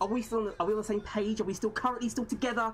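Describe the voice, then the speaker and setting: A woman talks with music in the background. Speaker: streamer. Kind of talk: casual, chatty. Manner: fast talker.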